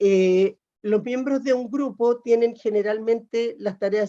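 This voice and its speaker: A woman's voice has a dark, mellow tone. Her pitch shows ordinary variation. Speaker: workshop facilitator. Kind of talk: lecture.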